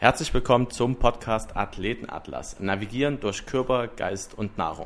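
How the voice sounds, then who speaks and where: Here is a man with an ordinary speaking voice. His pitch is medium and varies in an ordinary way. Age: 20s. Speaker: podcast host, business student. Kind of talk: casual podcast introduction.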